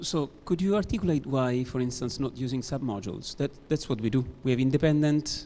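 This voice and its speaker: In an Italian accent, the speaker talks at a fairly quick pace in a dark, mellow tone with ordinary pitch variation. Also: man. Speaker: conference audience member asking a question. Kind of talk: Q&A question.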